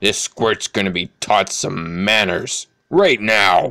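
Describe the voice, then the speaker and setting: A growling, put-on character voice at a fairly slow pace. The sound is dry and close, with no echo. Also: man, fairly low pitch for a man. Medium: read story. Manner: gruff, blunt.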